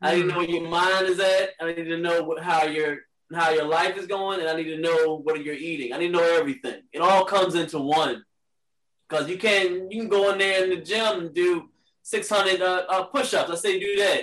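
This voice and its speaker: A man with an American accent, high-pitched, fairly quick, with fairly even intonation. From Richmond, Virginia. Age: 30s. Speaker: Crohn's patient, fitness lifestyle advocate. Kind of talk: casual interview.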